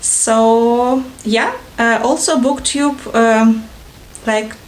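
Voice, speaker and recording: A woman with a Russian accent speaks at a fairly high pitch with ordinary pitch variation. There is audible room echo and noticeable background noise. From Ukraine, Odessa (Russian-speaking south). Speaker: book vlogger. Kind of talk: casual vlog introduction. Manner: halting, many fillers.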